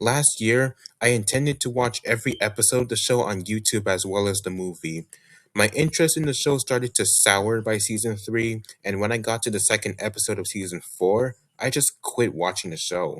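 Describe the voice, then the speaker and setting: Fairly quick delivery with ordinary pitch variation, on a very clean recording over a silent background. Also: man, medium pitch for a man. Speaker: YouTuber reviewing media. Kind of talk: scripted year-in-review monologue. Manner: steady, no long pauses.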